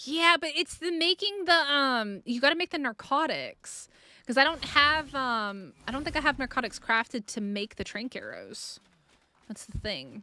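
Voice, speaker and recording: This woman's high voice is raised and projected, with a bright, sharp tone and lively intonation. She keeps a moderate pace with big swings in loudness, on a very clean recording with a silent background. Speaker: gaming streamer. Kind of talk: live gameplay stream chat. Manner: casual, rambling with fillers.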